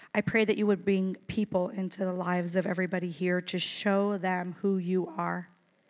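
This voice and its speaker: Monotone and flat in intonation, a woman speaks at medium pitch and a moderate pace. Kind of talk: chapel talk. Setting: school chapel with audience.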